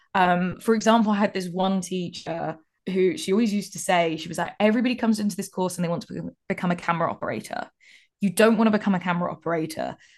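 A woman with an English accent at a very fast pace, medium pitch and fairly even intonation, against a quiet background. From England, childhood years in North Cyprus. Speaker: broadcast technical specialist. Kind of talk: interview. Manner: expressive.

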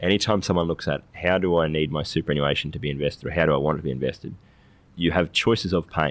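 A man with an Australian accent talks at a very fast pace, his very deep, low pitch showing ordinary variation and vocal fry. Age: 30s. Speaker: financial advisor. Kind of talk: casual chat.

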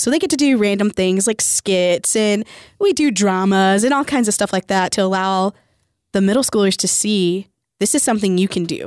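In a very clean recording with a silent background, a woman talks at a moderate pace in an unremarkable speaking voice. Her loudness is very even and her pitch varies an ordinary amount. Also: dry, close sound with no echo. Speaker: youth camp leader. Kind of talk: casual chat. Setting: radio studio.

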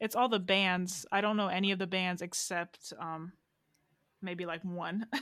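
Here a woman with a normal speaking voice talks at a medium pitch and a fairly slow pace, with fairly even intonation. The recording is very clean, the background silent. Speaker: podcast co-host. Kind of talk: casual chat.

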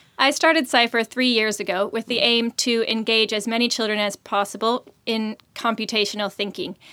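A woman's fairly high voice, an unremarkable speaking voice, with ordinary pitch variation, a moderate pace, and a dry, close sound without echo. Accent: American. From US. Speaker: startup founder, CEO. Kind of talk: interview conversation.

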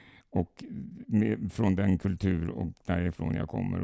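A man speaks with a very deep, low pitch and a dark, mellow tone. The sound is dry and close, without echo. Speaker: podcast host from a spiritualist association. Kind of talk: casual podcast conversation. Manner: halting, many fillers.

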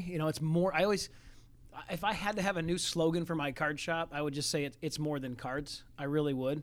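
An unremarkable speaking voice from a man, fairly high in pitch, at a fairly quick pace. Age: 40s. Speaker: sports card shop owner. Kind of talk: casual interview.

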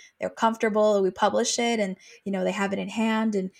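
A woman's plain, everyday voice at medium pitch, fairly quick, with fairly even intonation. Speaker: project manager and author concierge. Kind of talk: interview.

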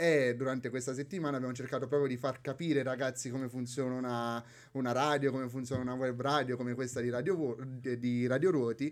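Speaking very fast, a man holds a medium pitch with flat, monotone intonation. The recording is very clean, with a silent background. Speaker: university student and Erasmus project volunteer. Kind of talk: casual radio interview. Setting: radio studio.

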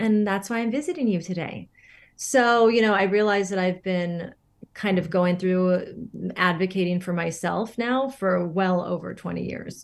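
A woman with an American accent talks in a plain, everyday voice at a medium pitch and a moderate pace, with ordinary pitch variation over a quiet background. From Northern California. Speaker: holistic beauty coach. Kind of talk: interview.

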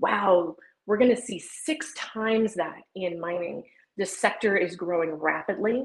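A woman talks in a normal speaking voice with ordinary pitch variation. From US Southwest, southwest New Mexico. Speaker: economist and sustainability consultant. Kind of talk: interview.

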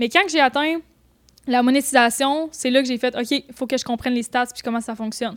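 In a Quebec accent, a woman speaks with a high pitch. Her pace is fairly quick and her pitch variation ordinary. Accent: Québécois French. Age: 20s. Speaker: photographer and YouTuber. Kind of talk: casual chat.

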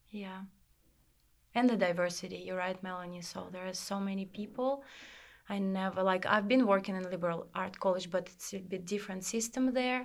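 Speaking at a fairly quick pace in a Russian accent, a woman at a medium pitch keeps a fairly even intonation but shows big swings in loudness, in a very clean recording with a silent background. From Russia, Irkutsk. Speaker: language teaching assistant. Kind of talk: group interview.

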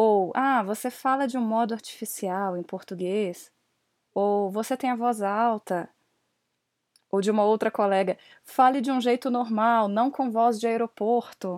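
With an ordinary speaking voice, a woman talks at a fairly slow pace with fairly even intonation, in a very clean recording with a silent background and a dry, close sound with no echo. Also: fairly high pitch for a woman. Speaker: English teacher and podcast host. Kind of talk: solo podcast monologue.

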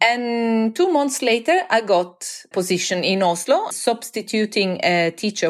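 A woman's fairly slow speech with lively intonation and an Italian accent. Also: very clean recording, silent background. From Italy, Florence. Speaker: university lecturer. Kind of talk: interview.

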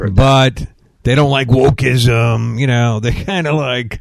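With a plain, everyday voice, a man speaks at medium pitch and a fairly slow pace. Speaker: radio host and preacher. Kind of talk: angry rant: conspiracy-laden sermon against wokeism and a 'satanic' global system. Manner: fired-up, ranting, sarcastic, preachy; casual and joking.

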